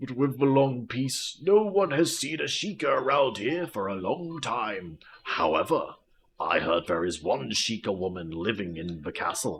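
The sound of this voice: A man's put-on character voice at a medium pitch, with very wide pitch swings and a moderate pace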